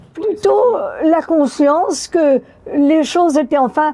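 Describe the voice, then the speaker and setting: A woman's dark, mellow tone comes through at a very slow pace. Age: 90s. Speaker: elderly woman recalling first vote. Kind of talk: interview testimony.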